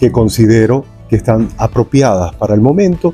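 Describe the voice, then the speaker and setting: Music plays in the background as a man speaks at a fairly slow pace with lively intonation. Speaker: news anchor and announcer. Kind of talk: interview answer.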